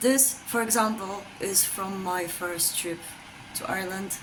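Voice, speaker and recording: A woman speaks with a Polish accent. Noticeable background noise and audible room echo fill the recording. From Poland. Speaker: vlogger. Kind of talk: casual chat. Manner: hesitant, many ums.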